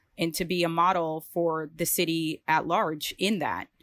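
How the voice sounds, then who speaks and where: A woman with an American accent, a fairly low pitch and monotone, flat intonation at a fairly slow pace, in a dry, close sound with no echo on a very clean recording with a silent background. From North Dakota, US Midwest. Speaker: church member. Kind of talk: personal testimony in a conversation.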